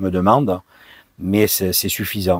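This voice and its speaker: A man's very deep, low voice at a moderate pace with fairly even intonation, in a very clean recording with a silent background and a dry, close sound with no echo. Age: 60s. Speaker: vanlife vlogger. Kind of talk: casual Q&A monologue. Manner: hesitant, many fillers.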